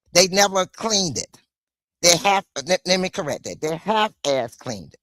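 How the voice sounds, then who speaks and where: An animated woman at medium pitch speaks at a moderate pace with ordinary pitch variation, vocal fry, and big swings in loudness, in a dry, close sound with no echo. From US South. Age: 60s. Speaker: live streamer. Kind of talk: storytelling monologue.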